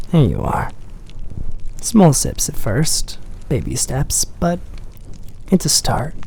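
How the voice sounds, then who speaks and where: Soft-spoken, a man talks at a very slow pace. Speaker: ASMR creator. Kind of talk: soft-spoken ASMR coffee shop roleplay.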